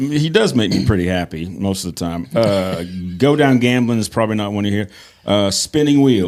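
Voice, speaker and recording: A man with a plain, everyday voice, fairly low in pitch, with lively intonation at a moderate pace. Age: 60s. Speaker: podcast host. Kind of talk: casual chat.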